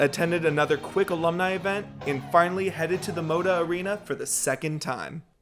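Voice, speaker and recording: Music plays in the background. The speaker talks at a very fast pace in an upbeat tone. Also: man. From Seattle, Washington. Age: 20s. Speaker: student news anchor and reporter. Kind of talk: first-person feature package narration.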